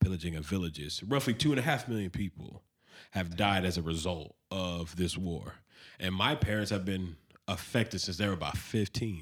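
Over background music, a man with a very deep, low pitch speaks at a moderate pace with ordinary pitch variation. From South Sudan, raised in US (Nashville, then Nebraska). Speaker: musician and podcast host. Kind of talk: casual chat.

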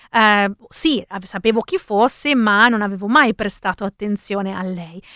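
Recorded very cleanly against a silent background, a woman with a fairly high pitch speaks at a moderate pace. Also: dry, close sound with no echo. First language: not Italian (speaking Italian). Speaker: radio host. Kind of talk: radio music show. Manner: halting.

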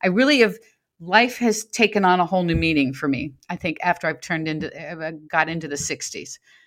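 A woman speaks at a moderate pace in a normal speaking voice, her pitch fairly low and her intonation lively. The recording is very clean, with a silent background. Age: 60s. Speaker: fitness coach and author. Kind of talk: casual chat.

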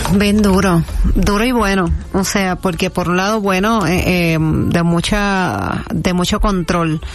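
A woman's medium-pitched voice at a very slow pace, with fairly even intonation, very even loudness, audible room echo and noticeable background noise. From Puerto Rico, Toa Baja. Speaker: singer-songwriter. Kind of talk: casual interview.

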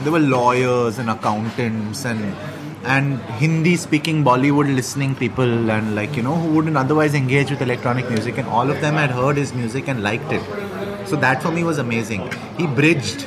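Through noticeable background noise and audible room echo, a man talks at a fairly quick pace and medium pitch with ordinary variation. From India. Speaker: artist and English literature graduate. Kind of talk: casual interview over lunch. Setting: restaurant.

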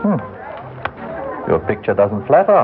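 In a put-on character voice, a man talks slowly with a fairly low pitch and very wide pitch swings, clear music playing in the background.

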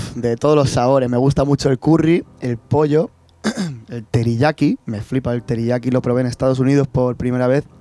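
A man's unremarkable speaking voice, medium in pitch with fairly even intonation, in a dry, close sound with no echo. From Spain, Castilla-La Mancha (Puertollano). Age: 20s. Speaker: professional skateboarder. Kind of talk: interview conversation. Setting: studio.

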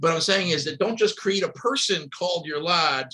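A man with a high voice speaks at a fairly quick pace with ordinary pitch variation. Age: 50s. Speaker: Freemason and lodge webmaster. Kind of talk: casual interview.

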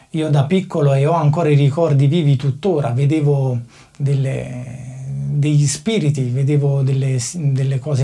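A man with a fairly high pitch speaks at a fairly slow pace in a dark, mellow tone that is somewhat breathy. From Naples, southern Italy. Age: 30s. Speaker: factory worker. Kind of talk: testimony.

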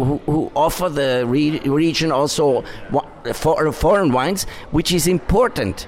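Noticeable background noise sits behind the recording. A man speaks at a fairly high pitch with ordinary pitch variation. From Upper Austria. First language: German. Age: 60s. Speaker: wine marketing director. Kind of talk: interview.

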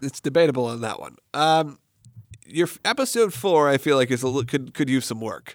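A man with a normal speaking voice talks at a fairly high pitch and a fairly quick pace, with ordinary pitch variation. His loudness swings widely, and the recording is very clean with a silent background. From US South, Atlanta area. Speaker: podcast host. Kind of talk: casual chat.

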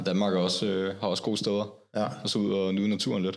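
With a normal speaking voice, a man talks at a fairly quick pace. His pitch is fairly low. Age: 20s. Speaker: Jehovah's Witness, security worker. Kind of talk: casual interview.

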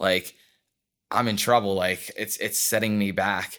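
In a very clean recording with a silent background, a man speaks at a moderate pace in a fairly low pitch, an ordinary speaking voice. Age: 20s. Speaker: CrossFit athlete and gym owner. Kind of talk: interview.

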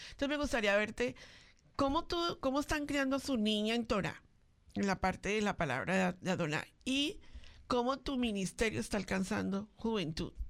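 On a very clean recording with a silent background, a woman speaks at a fairly high pitch with very wide pitch swings and very even loudness. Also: moderate pace. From Colombia, Santander. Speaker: pastor, co-host. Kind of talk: interview.

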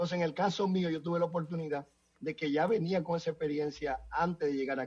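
Talking at a very fast pace with a Dominican accent, a man has a high pitch and fairly even intonation. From Dominican Republic. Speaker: city council member. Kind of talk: interview.

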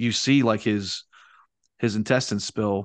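A man's medium-pitched voice against a quiet background. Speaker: podcast host. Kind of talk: casual podcast discussion. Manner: conversational, fillers.

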